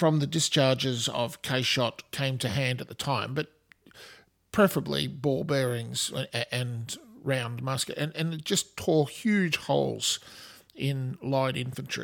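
A man speaks with an Australian accent. His pace is fairly slow. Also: medium pitch for a man, ordinary pitch variation. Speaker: podcast host. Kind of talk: scripted-style history podcast narration, informal. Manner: informal, conversational, hesitant with fillers.

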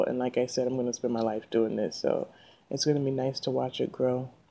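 Soft-spoken and very deep, a woman's low voice keeps fairly even intonation over noticeable background noise. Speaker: podcast host. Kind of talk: casual monologue. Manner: frequent fillers.

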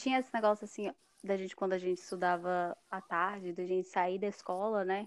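Fairly quick and fairly even in intonation, a woman speaks in a normal speaking voice at medium pitch. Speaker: podcast host. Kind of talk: casual chat.

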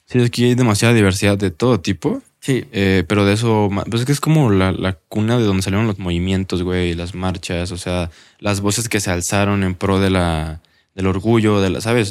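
The recording is very clean, with a silent background. A man with a plain, everyday voice speaks at a fairly quick pace, his fairly low pitch showing ordinary variation. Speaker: podcast host. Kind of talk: casual interview chat.

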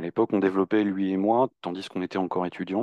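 The man's voice is very deep and low, delivered in a monotone, flat intonation. The sound is dry and close with no echo, over a quiet background. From Normandy, France. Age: 40s. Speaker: web agency founder. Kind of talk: interview.

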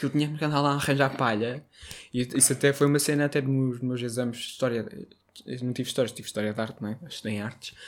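With a slight northern Portuguese accent, a man talks at a very fast pace and fairly even intonation on a very clean recording with a silent background. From northern Portugal, Braga. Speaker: podcast co-host. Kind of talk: casual chat. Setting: home recording in bedroom.

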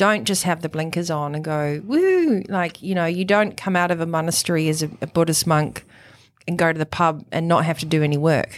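A woman speaks with a New Zealand accent in a fairly low pitch. Her intonation stays fairly even. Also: fairly quick pace. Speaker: high performance coach and author. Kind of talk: interview. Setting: studio.

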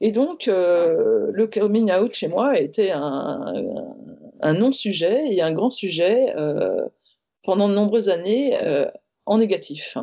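Very slowly, a woman speaks in a fairly high pitch that makes very wide swings. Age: 40s. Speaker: designer and entrepreneur sharing coming-out story. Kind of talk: testimony. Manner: halting.

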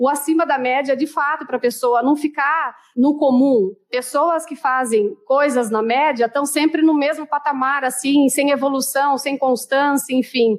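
A woman's high-pitched voice, with hardly any pauses. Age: 30s. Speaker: customer service trainer. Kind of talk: interview. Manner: animated.

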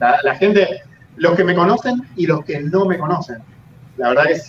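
In an Argentine accent, a man with a high pitch speaks at a fairly slow pace. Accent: Argentine Spanish (rioplatense voseo). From Argentina, Santa Fe province. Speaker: YouTuber. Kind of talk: casual interview chat.

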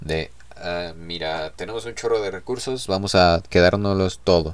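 A man with a very deep, low pitch, an animated tone and lively intonation, on a very clean recording with a silent background. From Mexico City. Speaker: podcast host. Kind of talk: casual monologue.

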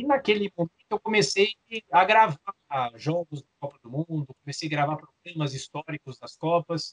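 His high-pitched voice moves with lively intonation and big swings in loudness as this man speaks at a moderate pace, the sound dry and close with no echo. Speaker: sports journalist and author. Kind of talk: interview.

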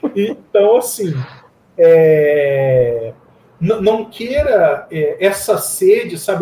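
A man's high voice rises and falls with lively intonation. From Campinas, São Paulo state, Brazil. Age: 40s. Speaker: IT professional and open-source community founder. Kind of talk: casual interview.

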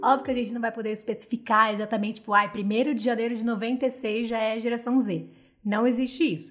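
A woman talks in an animated tone at a fairly quick pace and a fairly high pitch. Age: 20s. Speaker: podcast co-host. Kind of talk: casual chat. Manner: animated, frequent laughter.

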